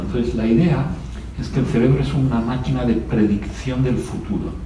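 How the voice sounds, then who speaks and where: A man with a Spanish accent talks at a moderate pace. Noticeable background noise and audible room echo fill the recording. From Spain. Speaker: neuroscientist. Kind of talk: festival talk.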